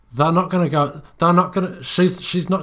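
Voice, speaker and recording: Over a silent background on a very clean recording, a man talks at a moderate pace. His voice has vocal fry. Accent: New Zealand. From New Zealand. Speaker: podcast co-host. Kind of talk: casual chat. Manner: halting, frequent repetitions.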